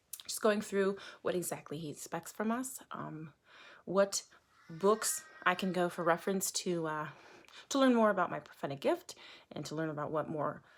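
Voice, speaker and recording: With music in the background, a woman at a fairly low pitch speaks at a moderate pace using lively intonation. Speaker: online preacher. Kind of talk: casual monologue. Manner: loud; halting, many fillers.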